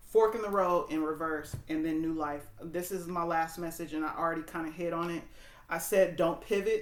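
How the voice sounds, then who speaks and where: Her pitch fairly low and her intonation fairly even, a woman talks at a moderate pace. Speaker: tarot reader and spiritual coach. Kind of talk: tarot reading to camera. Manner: casual, halting with fillers.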